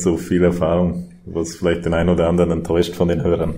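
Over noticeable background noise and audible room echo, a man speaks at a very deep, low pitch. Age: 30s. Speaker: mayor. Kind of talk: casual chat.

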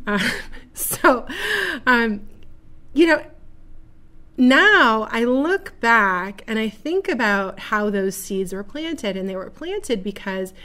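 With an American accent, the speaker moves through very wide pitch swings at a very slow pace, stopping for long, frequent pauses. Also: woman, fairly high pitch for a woman. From Buffalo, New York. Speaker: podcast host and direct-sales entrepreneur. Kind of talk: solo monologue. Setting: studio.

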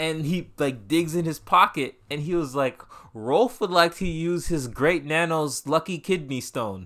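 On a very clean recording with a silent background, a man speaks at a fairly slow pace. His tone is bright, sharp and animated, with ordinary pitch variation. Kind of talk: casual chat.

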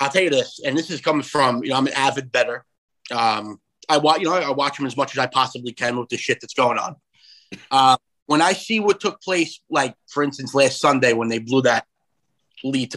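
The speaker has a New York accent and talks at a fairly quick pace with ordinary pitch variation. The sound is dry and close, without echo. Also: man. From New York, Long Island. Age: 30s. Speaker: conservative comedian and commentator. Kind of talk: interview.

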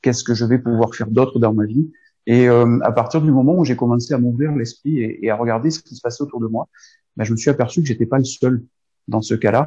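A man's dark, mellow, somewhat breathy tone with fairly even intonation. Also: medium pitch for a man, fairly quick pace, quiet background. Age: 50s. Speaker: sophrologist. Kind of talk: interview. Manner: halting, with many repetitions.

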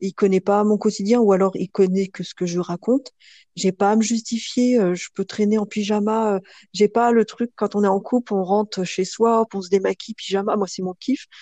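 The voice has a dark, mellow tone and fairly even intonation at a moderate pace, captured with a dry, close sound and no echo. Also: woman, medium pitch for a woman. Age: 30s. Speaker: guest sharing her love life. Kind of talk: testimony. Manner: hesitant, many fillers.

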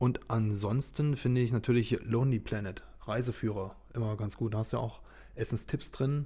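Somewhat breathy, with a dark, mellow tone, a man speaks at a moderate pace with fairly even intonation. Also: medium pitch for a man. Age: 30s. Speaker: business partner, marketing guest. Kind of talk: casual interview chat.

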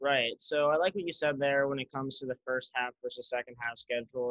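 A man with an American accent speaks at a fairly quick pace in a plain, everyday voice of medium pitch. The sound is dry and close, with no echo. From Utah, Salt Lake City. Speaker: student and social media sports page owner. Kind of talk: casual chat.

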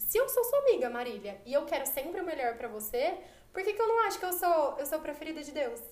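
A woman talks at a very fast pace in a high voice, her pitch swinging very widely. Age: 20s. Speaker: architect, podcast guest. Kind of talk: casual chat.

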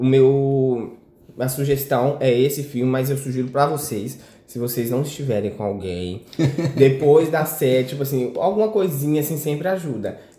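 A man speaks at a fairly slow pace in a fairly high, somewhat breathy voice with a dark, mellow tone and ordinary pitch variation. Audible room echo surrounds him. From Minas Gerais, Brazil. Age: 20s. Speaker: podcast guest, friend of host. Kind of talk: casual chat.

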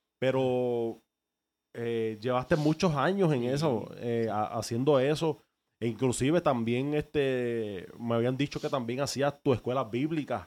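A man speaks at a fairly slow pace in a plain, everyday voice, medium in pitch with ordinary pitch variation. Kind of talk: casual interview.

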